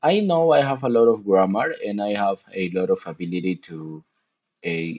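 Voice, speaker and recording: A man with a Spanish accent speaks at a fairly slow pace. His pitch swings very widely. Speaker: gaming streamer. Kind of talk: casual live-stream chat. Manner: halting, many restarts.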